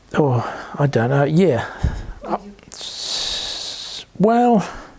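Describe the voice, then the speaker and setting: Amid noticeable background noise, a man with a New Zealand accent speaks at a very slow pace. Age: 70s. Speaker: interviewee, son of Polish immigrants. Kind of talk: oral history interview. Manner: halting, many fillers and repetitions.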